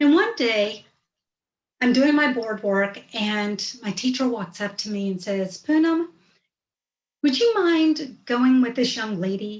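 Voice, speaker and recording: With lively intonation, a woman speaks very slowly in a fairly high pitch. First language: Hindi. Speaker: storyteller. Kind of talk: personal storytelling.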